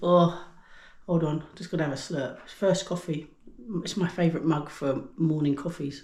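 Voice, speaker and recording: With an English accent, a woman with a fairly low pitch and a dark, mellow tone speaks at a fairly slow pace. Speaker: cooking YouTuber. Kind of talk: casual cooking vlog. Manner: chatty, informal.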